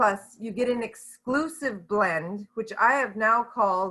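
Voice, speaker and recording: Over a quiet background, a woman with a medium pitch and ordinary pitch variation speaks at a very slow pace in a bright, sharp tone. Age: 60s. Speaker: network marketing leader. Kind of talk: business training presentation.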